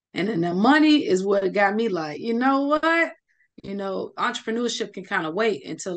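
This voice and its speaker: In an American accent, a woman speaks with very wide pitch swings over a quiet background. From Chicago. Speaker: cybersecurity engineer; cybersecurity trainer, guest. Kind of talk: interview. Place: home room. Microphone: video call.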